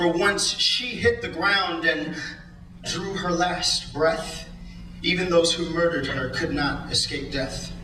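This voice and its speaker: A man with an American accent at a very slow pace, over noticeable background noise. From United States, California. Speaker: spoken word poet. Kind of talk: spoken word poetry performance. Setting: live stage, audience.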